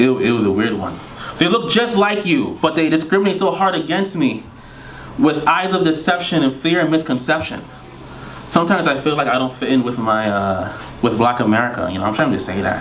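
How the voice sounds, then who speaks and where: A man with a Caribbean accent talks at a fairly quick pace, his fairly high pitch making very wide swings. Noticeable background noise and audible room echo are in the recording. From Trinidad. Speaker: poet. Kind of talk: poetry reading. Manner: fast.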